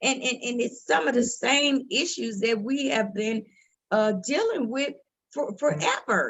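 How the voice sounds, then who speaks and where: A woman speaks at a fairly slow pace with a fairly high pitch and vocal fry. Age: 60s. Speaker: mother of a police shooting victim, guest speaker. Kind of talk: panel discussion. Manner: halting, repeats words.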